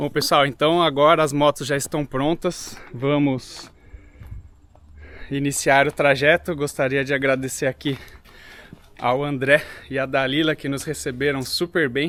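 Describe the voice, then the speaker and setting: A man speaks at a fairly slow pace in a monotone, flat intonation, with long, frequent pauses. Noticeable background noise can be heard. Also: fairly high pitch for a man. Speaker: motorcycle travel vlogger. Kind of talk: casual vlog narration. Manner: speaking quietly early morning.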